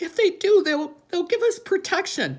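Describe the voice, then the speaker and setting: A woman speaks at a moderate pace in a put-on, squeaky character voice. Her pitch sits extremely high. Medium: read story.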